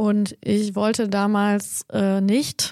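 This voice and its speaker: A dark, mellow tone at a medium pitch comes from a woman speaking. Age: 40s. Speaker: agency founder and podcast co-host. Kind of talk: casual chat.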